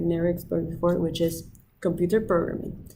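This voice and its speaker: Audible room echo surrounds a woman as she talks. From Peru, Lima. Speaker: student. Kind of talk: application video monologue. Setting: outdoors by the ocean.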